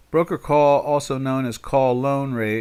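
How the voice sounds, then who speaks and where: Very clean recording, silent background, featuring a man with an American accent. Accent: New York accent, as viewer remarks. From South Jersey, Pinelands. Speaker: trader. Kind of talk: live trading stream chat. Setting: live stream. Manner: halting, many fillers.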